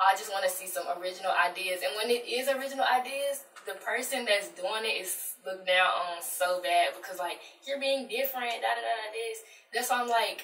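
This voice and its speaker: Over light background noise and audible room echo, a woman speaks at a fairly quick pace with ordinary pitch variation. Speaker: guest. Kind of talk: interview answer. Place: studio.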